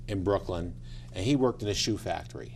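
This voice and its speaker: An ordinary speaking voice with an American accent, lively intonation and a fairly quick pace. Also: man. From New York City, then eastern Pennsylvania from age 13. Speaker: judge and court candidate. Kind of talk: TV interview.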